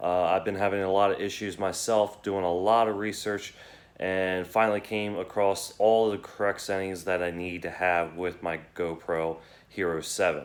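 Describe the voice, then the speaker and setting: A man with a very deep, low pitch speaks at a moderate pace in a monotone, flat intonation. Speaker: motorcycle vlogger; military veteran. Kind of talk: tutorial. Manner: halting, many fillers.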